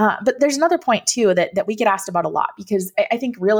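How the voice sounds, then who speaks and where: A woman's voice in an American accent, swinging very widely in pitch. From Minnesota. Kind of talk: interview conversation.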